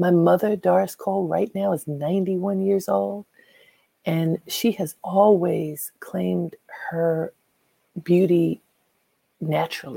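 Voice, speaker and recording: Speaking at a very slow pace with long, frequent pauses, a woman comes through in a dry, close sound with no echo. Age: 50s. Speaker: podcast host. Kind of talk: motivational talk.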